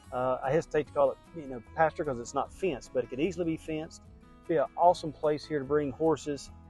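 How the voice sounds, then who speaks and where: Music plays behind a man talking at a very fast pace. His intonation stays fairly even. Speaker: real estate agent and auctioneer. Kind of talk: property tour video pitch, casual talk to camera.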